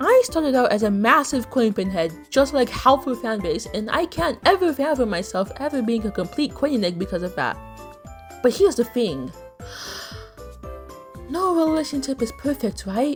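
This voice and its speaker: Over music in the background, a woman talks at a moderate pace in a high voice with very wide pitch swings. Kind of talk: video essay commentary.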